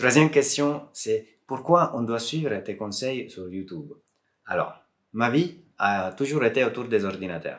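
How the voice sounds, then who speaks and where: The delivery is fairly slow, with long, frequent pauses and big swings in loudness. Intonation stays lively throughout. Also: man. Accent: Italian. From Southern Italy. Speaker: software developer and PC modder; streamer. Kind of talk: casual talk to camera.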